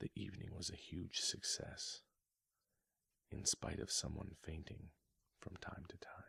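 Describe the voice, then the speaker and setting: A man whispers. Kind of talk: ASMR book reading. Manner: soft-spoken, whispered.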